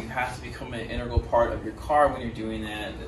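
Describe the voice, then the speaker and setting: The intonation stays fairly even. Background noise is noticeable throughout. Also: man. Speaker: driving instructor advertising lessons. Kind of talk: casual promotional talk. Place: garage. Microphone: camera far.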